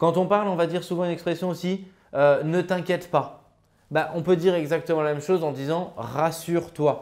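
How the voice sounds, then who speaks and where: A man's high voice, fairly quick and fairly even in intonation, against a quiet background. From France, Grenoble; France. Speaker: real estate investment coach and author; real estate investment coach. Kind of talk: educational vlog monologue. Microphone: lapel.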